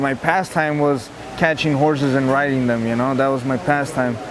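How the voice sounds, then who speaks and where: With a Spanish accent, a man talks at a moderate pace in a fairly high pitch with fairly even intonation, amid audible room echo and noticeable background noise. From Sonora, Mexico; raised from age 9 in Tucson, Arizona. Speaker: MMA fighter. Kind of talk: interview. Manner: halting, many fillers and repeats.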